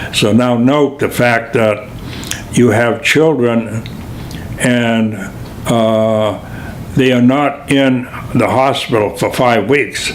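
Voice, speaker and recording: An American man talks very slowly with long, frequent pauses and fairly even intonation, over noticeable background noise and audible room echo. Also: medium pitch for a man, very even loudness. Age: 80s+. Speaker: retired physical therapist and physical educator. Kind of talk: interview answer. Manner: halting, many fillers.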